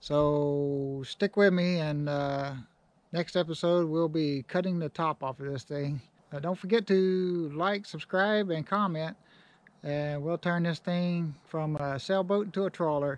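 This man talks at a fairly slow pace with ordinary pitch variation. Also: dry sound with no echo. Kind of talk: casual vlog chat. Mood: relaxed, good-humored. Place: open country. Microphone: phone near.

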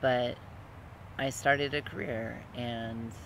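Light background noise accompanies a man whose intonation is fairly even, heard in a dry sound with no echo. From Utah, US. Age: 30s. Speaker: vlogger, transgender man and student. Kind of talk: casual personal vlog monologue. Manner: halting, with many fillers. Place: garden. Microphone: phone near.

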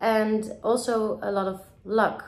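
With audible room echo, a woman speaks in a Dutch accent with fairly even intonation. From Netherlands, Amsterdam. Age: 30s. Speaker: film director. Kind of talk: recorded video message to festival audience; festival greeting video, direct address. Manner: halting, many filler words. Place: home room. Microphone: phone near.

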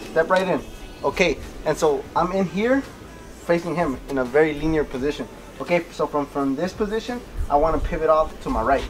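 A man at a fairly quick pace with ordinary pitch variation, light background noise behind him. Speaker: boxing coach. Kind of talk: tutorial. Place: garden.

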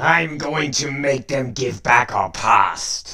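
A man puts on a raspy character voice with a fairly high pitch. He speaks at a very slow pace. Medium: dub. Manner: grim, brooding.

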